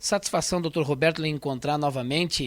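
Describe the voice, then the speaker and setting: This man talks with ordinary pitch variation. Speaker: radio host. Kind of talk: radio interview; radio presenting.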